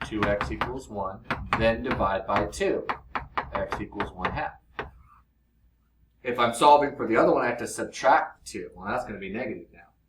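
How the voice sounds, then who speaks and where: A man's medium-pitched voice at a moderate pace, with lively intonation, big swings in loudness, long, frequent pauses and audible room echo. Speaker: math teacher. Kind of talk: lecture.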